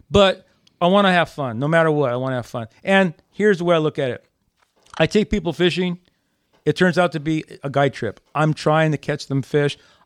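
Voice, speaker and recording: A plain, everyday voice belongs to a man speaking at a fairly quick pace and a fairly high pitch with ordinary pitch variation. The recording is very clean, with a silent background and a dry, close sound with no echo. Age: 60s. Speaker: bass fisherman. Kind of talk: casual chat. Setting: studio.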